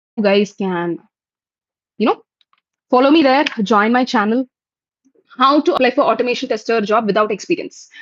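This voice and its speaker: Her voice sits fairly high, with lively intonation. The woman's sound is dry and close, with no echo. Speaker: software testing trainer hosting live Q&A. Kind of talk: live stream Q&A. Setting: YouTube live stream. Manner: fast. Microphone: bad network connection.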